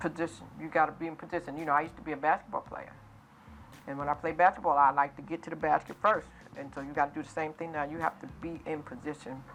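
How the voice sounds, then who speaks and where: The speech goes at a very fast pace with big swings in loudness over noticeable background noise. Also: woman, very deep, low pitch for a woman. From US Northeast, New York City. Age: 60s. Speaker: author and entrepreneur. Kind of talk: interview. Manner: animated.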